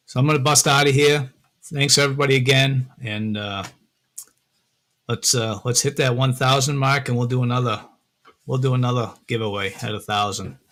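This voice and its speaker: A man talks at a medium pitch and moderate pace, with fairly even intonation and long, frequent pauses. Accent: Massachusetts. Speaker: metal detecting and prospecting YouTuber. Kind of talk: live stream chat with viewers. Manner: casual, hesitant with fillers.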